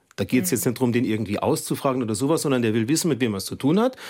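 The recording is very clean with a silent background, and the intonation stays lively throughout. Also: man. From Saarland. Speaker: TV news presenter. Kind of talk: casual studio conversation. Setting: radio studio.

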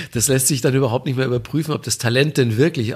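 Using fairly even intonation, a man speaks with vocal fry. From Bavaria, Manching near Ingolstadt. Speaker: music TV presenter. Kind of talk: interview. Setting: remote line.

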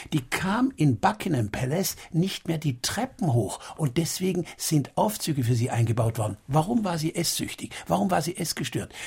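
Speaking with hardly any pauses, a man uses a fairly high pitch that swings very widely, with vocal fry in his voice. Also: moderate pace. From Baden, southwest Germany. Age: 60s. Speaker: doctor and author. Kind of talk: radio interview.

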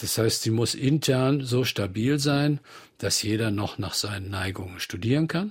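The voice is somewhat breathy, moving at a fairly slow pace with ordinary pitch variation on a very clean recording with a silent background. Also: man, medium pitch for a man. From Bonn, Rhineland, Germany. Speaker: art professor. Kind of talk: radio interview. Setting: studio.

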